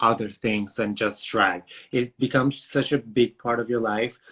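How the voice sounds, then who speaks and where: In a bright, sharp tone, a man speaks at medium pitch and a moderate pace with monotone, flat intonation. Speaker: drag performer. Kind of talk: interview. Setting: video call.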